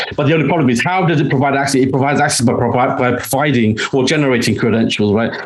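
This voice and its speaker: A man talks at a very fast pace with medium pitch and ordinary pitch variation. Noticeable background noise runs behind him. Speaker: podcast guest. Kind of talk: technical, conversational. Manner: fast talker; talks faster when passionate.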